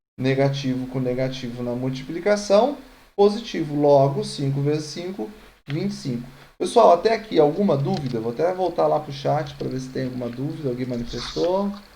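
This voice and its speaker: A man's fairly high, dark and mellow voice with lively intonation and audible room echo. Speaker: math teacher. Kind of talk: online lecture. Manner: fast.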